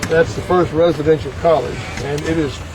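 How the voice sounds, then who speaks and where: The speaker is a man at a moderate pace. Noticeable background noise can be heard. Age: 70s. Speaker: university chancellor. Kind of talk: casual interview. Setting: outdoors in a moving golf cart. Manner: halting, repeats words.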